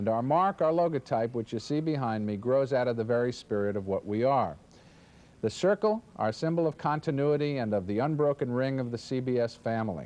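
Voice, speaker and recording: A man with a normal speaking voice talks at a medium pitch and a fairly quick pace, his intonation lively. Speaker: network promotion executive. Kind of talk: corporate presentation to affiliates. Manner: upbeat, salesy.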